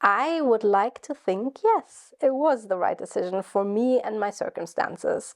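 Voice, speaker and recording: A woman's fairly high voice with a German accent, against a quiet background. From Germany. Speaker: YouTuber and PhD student. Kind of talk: vlog monologue. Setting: at home in her flat. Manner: casual, rambling.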